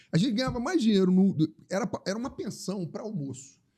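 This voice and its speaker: A man speaks at a high pitch with a dark, mellow tone. His intonation is lively and his pace fairly quick. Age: 60s. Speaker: tourism entrepreneur. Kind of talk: interview conversation. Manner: halting, many repetitions.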